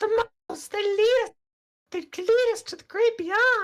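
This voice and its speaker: An extremely high-pitched put-on character voice speaks at a fairly slow pace. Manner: intoning, mystical.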